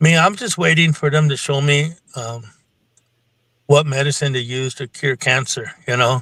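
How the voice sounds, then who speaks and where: A man with an American accent speaks fairly slowly at medium pitch, his tone bright and sharp, with ordinary pitch variation and a dry, close sound with no echo. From Nebraska, Santee Dakota reservation. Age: 60s. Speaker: spiritual practitioner, Bigfoot experiencer. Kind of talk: interview testimony. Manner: halting, many fillers.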